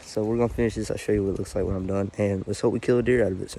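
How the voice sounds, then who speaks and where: With an Arkansas accent, a man speaks at a medium pitch and with fairly even intonation. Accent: Southern US (Arkansas). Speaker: hunting vlogger. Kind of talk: casual outdoor vlog narration. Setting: outdoors in woods. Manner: hesitant, many fillers; quiet.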